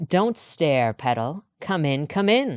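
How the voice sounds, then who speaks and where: A husky, put-on character voice at a middle pitch, set against a quiet background. The pace is fairly slow. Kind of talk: speaking English.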